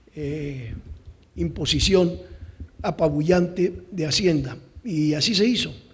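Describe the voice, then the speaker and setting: A man's voice with audible room echo. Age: 60s. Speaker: conference speaker on policy evaluation. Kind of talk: conference talk.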